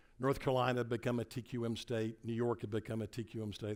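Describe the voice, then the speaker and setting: A man with a Tennessee accent speaks at a very fast pace in a medium pitch. The recording is very clean, with a silent background. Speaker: motivational speaker. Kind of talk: keynote speech. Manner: animated.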